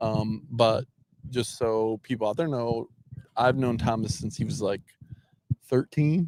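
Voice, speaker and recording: At a fairly slow pace with long, frequent pauses, a man talks at medium pitch with ordinary pitch variation, the sound dry and close with no echo. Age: 40s. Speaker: CEO of a homeless shelter, livestream host. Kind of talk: casual interview. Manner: friendly, casual.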